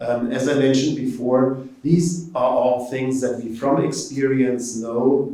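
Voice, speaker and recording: With audible room echo, a man speaks very slowly at a medium pitch in a German accent. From Germany. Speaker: professor. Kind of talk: informational presentation. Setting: event presentation to prospective students.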